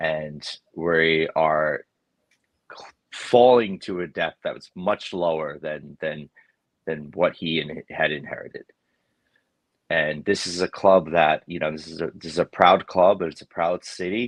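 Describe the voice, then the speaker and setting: Speaking at a fairly slow pace with a New York accent, the voice leaves long, frequent pauses and swings widely in loudness, in a dry, close sound with no echo. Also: man, very deep, low pitch for a man, fairly even intonation. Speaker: football podcast co-host. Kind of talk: casual chat.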